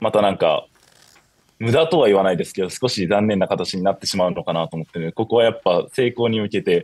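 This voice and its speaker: Against a quiet background, a man speaks at a very fast pace with lively intonation. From Shizuoka, Japan; Japan. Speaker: university student; guest. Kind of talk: interview. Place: home room. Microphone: video call.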